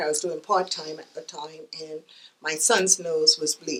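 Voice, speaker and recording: Monotone, flat intonation in a Caribbean accent. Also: woman. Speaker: divorce ministry volunteer speaker. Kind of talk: interview, personal testimony. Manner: hesitant, many fillers.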